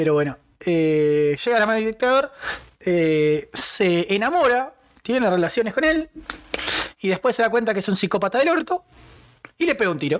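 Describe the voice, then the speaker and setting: The speaker has a Rioplatense accent. Long pauses come often. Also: moderate pace. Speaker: podcast co-host. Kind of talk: casual chat.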